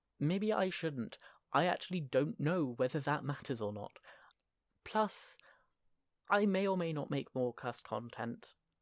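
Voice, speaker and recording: Long, frequent pauses at a fairly slow pace, on a very clean recording with a silent background. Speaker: YouTuber discussing constructed languages. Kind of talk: casual monologue vlog. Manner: rambling with many fillers and tangents.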